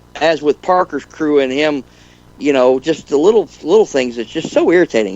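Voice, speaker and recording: This man has an ordinary speaking voice, fairly high in pitch with ordinary pitch variation. He talks at a moderate pace. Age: 60s. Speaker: gold prospector and panel regular. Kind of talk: casual panel chat on live radio show.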